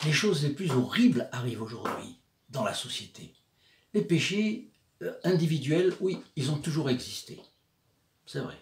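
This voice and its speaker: A man speaks with a fairly high pitch and very wide pitch swings. His pace is fairly slow, with long, frequent pauses. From southern France, Provence. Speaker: religious video presenter. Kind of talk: religious commentary talk. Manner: hesitant, many filler sounds.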